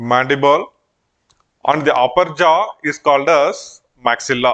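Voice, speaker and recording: This man has an ordinary speaking voice, pitched fairly high. He talks at a fairly slow pace with ordinary pitch variation. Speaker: anthropology teacher. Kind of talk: lecture.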